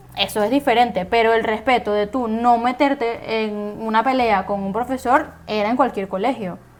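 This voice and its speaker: A woman speaks in a normal speaking voice at a moderate pace, her fairly high pitch carried on fairly even intonation with hardly any pauses. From Venezuela. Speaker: podcast host. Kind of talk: casual chat.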